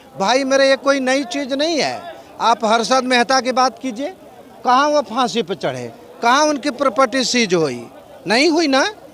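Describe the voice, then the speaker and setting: Noticeable background noise sits behind a man's extremely high-pitched voice. His pitch variation is ordinary. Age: 60s. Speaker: physics scholar, interviewee. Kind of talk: street interview.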